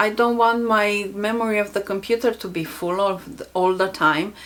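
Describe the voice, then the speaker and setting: A woman with a non-native accent. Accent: foreign. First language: not English. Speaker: self-help youtuber. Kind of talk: casual vlog talk.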